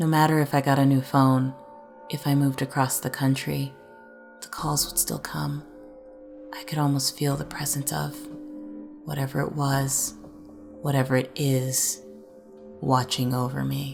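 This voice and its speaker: A woman speaking at a moderate pace with long, frequent pauses, music in the background. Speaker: creepypasta narrator. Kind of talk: horror story reading.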